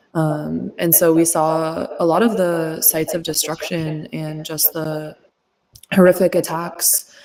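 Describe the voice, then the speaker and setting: In a normal speaking voice, a woman with an American accent talks at a fairly slow pace, her fairly low pitch held in fairly even intonation. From United States. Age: 20s. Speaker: activist and freelance journalist. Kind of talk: interview.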